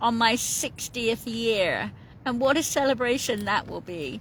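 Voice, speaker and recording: High in pitch, a woman speaks with a British accent. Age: 50s. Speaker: coastal walker vlogger. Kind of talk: casual vlog chat. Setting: in a tent on the coast. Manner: chatty, rambling with fillers.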